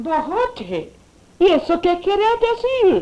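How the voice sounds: A woman uses a put-on character voice with an extremely high pitch and very wide pitch swings. She goes at a slow pace in a dark, mellow tone.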